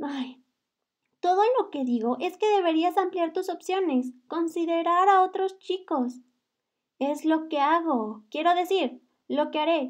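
A woman speaks at a high pitch with lively intonation. Her pace is fairly slow. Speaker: audiobook narrator. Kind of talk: reading aloud.

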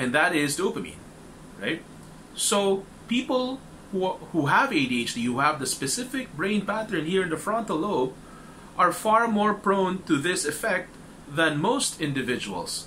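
A raised, projected voice moves at a fairly slow pace through very wide pitch swings, with light background noise behind it. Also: man, high pitch for a man. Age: 30s. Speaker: support group facilitator. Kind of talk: informal talk to a support group. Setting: group meeting with audience. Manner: hesitant, many fillers. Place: home room. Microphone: webcam.

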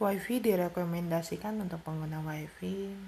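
Soft-spoken, a woman talks at a moderate pace with a fairly low pitch and ordinary pitch variation. Her tone is dark and mellow, with vocal fry.

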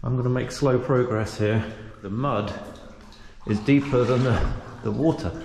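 A man's speech, moderate in pace and showing ordinary pitch variation, sits over noticeable background noise. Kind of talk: casual vlog commentary. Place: tunnel cave. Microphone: phone near.

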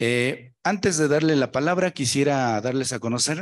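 The man's pitch varies in an ordinary way. He speaks fairly slowly. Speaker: event moderator. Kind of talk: formal event hosting. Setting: lecture hall. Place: meeting room.

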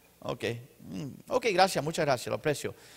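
A man talks at a fairly quick pace in a fairly high voice, with very wide pitch swings. Vocal fry runs through his speech. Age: 50s. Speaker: pastor; preacher. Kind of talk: sermon; church announcements. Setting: church. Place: church. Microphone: handheld.

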